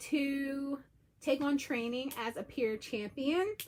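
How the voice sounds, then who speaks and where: A quiet, high-pitched woman's voice. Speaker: peer breastfeeding counselor. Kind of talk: live stream talk. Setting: livestream at home. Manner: lowered energy, quieter.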